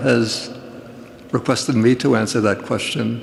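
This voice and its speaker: A man speaks in a flat, monotone way over noticeable background noise. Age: 80s+. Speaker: Buddhist monk. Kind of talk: public talk.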